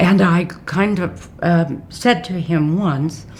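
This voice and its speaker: A woman with an American accent talks at a fairly low pitch with fairly even intonation over noticeable background noise. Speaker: retired judge. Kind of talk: oral history interview.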